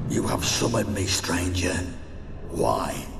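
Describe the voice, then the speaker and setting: Over loud background noise and a clear echo, a man speaks at a fairly slow pace in a put-on character voice. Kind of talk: archaic formal speech. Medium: short film. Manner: cold, menacing, archaic.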